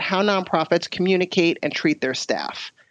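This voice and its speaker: This woman has a normal speaking voice with a fairly low pitch, at a fairly quick pace. The sound is dry and close with no echo, and the background is quiet. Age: 40s. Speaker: podcast host, agency co-director. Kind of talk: interview.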